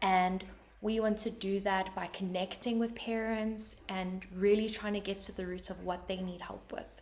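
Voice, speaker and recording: A woman speaks fairly slowly with a South African accent. Her medium-pitched voice stays monotone and flat. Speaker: podcast host. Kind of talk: podcast introduction. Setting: remote recording.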